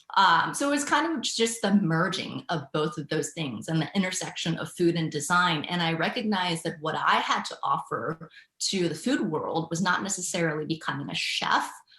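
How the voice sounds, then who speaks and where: Over noticeable background noise, a woman with a fairly low pitch talks at a moderate pace with lively intonation and hardly any pauses. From Thailand. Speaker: entrepreneur. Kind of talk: interview.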